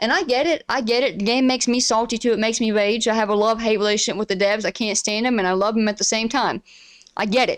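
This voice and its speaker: A woman with an Appalachian accent, fairly high-pitched and animated, at a very fast pace with very even loudness, on a very clean recording with a silent background. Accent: Appalachian mountain. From Appalachia, eastern Kentucky (Pikeville). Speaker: streamer and podcast host. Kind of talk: casual monologue rant. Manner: animated, frequent stammers and restarts.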